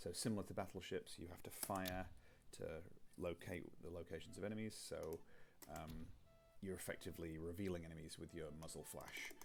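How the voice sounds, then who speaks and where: A soft-spoken man with a very deep, low pitch, monotone, flat intonation, a fairly quick pace and long, frequent pauses. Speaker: game designer. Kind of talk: tutorial. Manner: halting.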